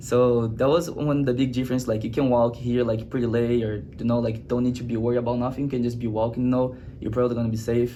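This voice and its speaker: Over audible room echo, the speaker talks very fast in a Brazilian Portuguese accent, with hardly any pauses and a monotone, flat intonation. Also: man, medium pitch for a man. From Brazil, Rio de Janeiro. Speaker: student athlete. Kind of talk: interview. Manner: halting, many fillers.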